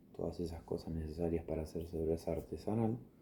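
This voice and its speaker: A man with a very deep, low pitch speaks in a somewhat breathy voice, his tone dark, mellow and soothing. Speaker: ASMR creator. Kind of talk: improvised ASMR bedtime story. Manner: slow, soothing, relaxing.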